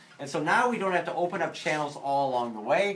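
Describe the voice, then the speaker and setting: A man with an American accent talks at a very fast pace with lively intonation over noticeable background noise. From US Midwest, St. Louis. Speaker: physiology instructor. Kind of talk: lecture. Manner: casual, with many fillers.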